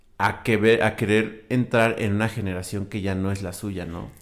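At a fairly slow pace, a man speaks in a plain, everyday voice with fairly low pitch and fairly even intonation. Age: 20s. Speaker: podcast co-host. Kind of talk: casual chat.

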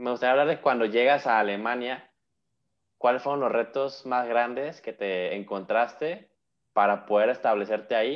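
At a moderate pace, a man talks in a normal speaking voice at medium pitch with ordinary pitch variation. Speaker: podcast host and German teacher. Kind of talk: casual interview chat.

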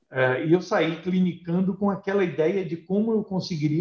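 A man's high-pitched voice shows ordinary pitch variation as he talks at a moderate speed. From Brazil, Paraná (north/northwest interior). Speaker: veterinarian and animal health company executive. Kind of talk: interview.

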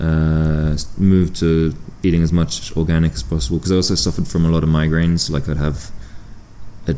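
Over noticeable background noise and audible room echo, a man talks at a fairly quick pace. His pitch is very deep and low. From southern France, born in UK. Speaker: professional snowboarder. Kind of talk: casual interview chat. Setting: empty hotel near a pool.

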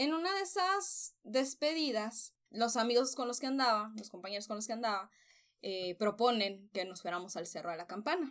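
On a very clean recording with a silent background, a woman speaks at a moderate pace. Her fairly high voice makes very wide pitch swings. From Mexico, Sonora (Nogales). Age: 20s. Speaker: communications professional and writer. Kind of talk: personal testimony. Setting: home-made sound-dampened room.

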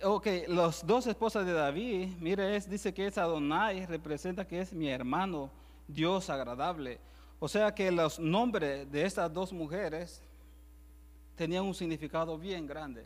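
A man talks at a fairly slow pace with a Salvadoran accent. His pitch is high. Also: ordinary pitch variation. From El Salvador. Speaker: preacher. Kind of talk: sermon. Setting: church.

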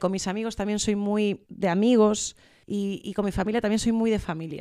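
On a very clean recording with a silent background, a woman speaks in a dark, mellow tone with monotone, flat intonation. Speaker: comedian. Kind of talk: casual chat. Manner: fast.

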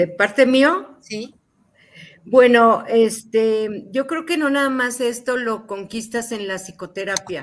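Very slow speech with lively intonation, on a very clean recording with a silent background. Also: woman, fairly high pitch for a woman. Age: 60s. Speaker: psychotherapist. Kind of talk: interview.

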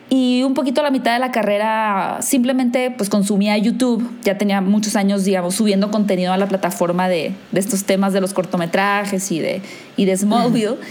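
A woman at medium pitch speaks at a fairly quick pace with ordinary pitch variation, with audible room echo. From northern Mexico, Hermosillo. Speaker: film YouTuber and content creator. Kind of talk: casual chat.

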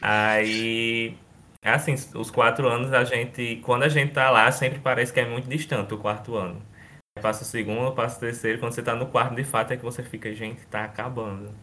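His is an ordinary speaking voice, pitched in the medium range. The man's delivery comes fairly quick, and his intonation stays fairly even. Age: 20s. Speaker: former student, university student. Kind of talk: casual chat.

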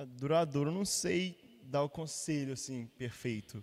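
Pitched fairly high, a man speaks in a plain, everyday voice with ordinary pitch variation. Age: 20s. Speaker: church musician. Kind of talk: casual chat.

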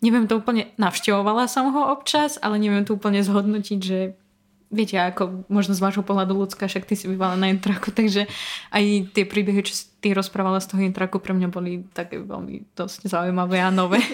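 Fairly even in intonation and fairly quick in pace, the voice is an unremarkable speaking voice. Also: woman, medium pitch for a woman. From Belarus. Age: 20s. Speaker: former conservatory student, marketing worker. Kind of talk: casual interview.

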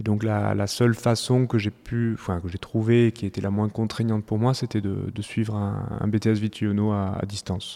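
The tone is dark and mellow, delivered in a monotone, flat intonation with hardly any pauses. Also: man, fairly low pitch for a man, moderate pace. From southwest France, near Toulouse. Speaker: winemaker. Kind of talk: interview. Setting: at his wine estate. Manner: halting, many fillers.

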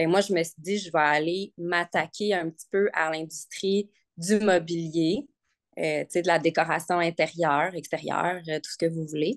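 Over a quiet background, a woman speaks fairly slowly with ordinary pitch variation in a dry, close sound with no echo. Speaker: nurse and furniture restorer. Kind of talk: casual interview chat. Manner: hesitant, many fillers.

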